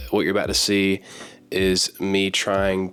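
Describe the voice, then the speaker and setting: With music in the background, a man speaks in a very deep, low voice. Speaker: book YouTuber. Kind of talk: casual talk to camera.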